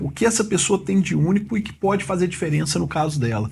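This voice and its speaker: Vocal fry and very wide pitch swings from a man at a fairly quick pace, on a very clean recording with a silent background. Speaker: immigration lawyer / podcast host. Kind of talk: podcast interview, host talk.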